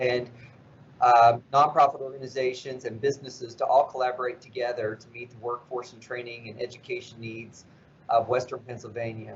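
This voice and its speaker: A man with a somewhat breathy, medium-pitched voice speaks in a flat monotone with a slight West Virginia accent. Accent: slight southern, West Virginia. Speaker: nonprofit CEO. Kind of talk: interview.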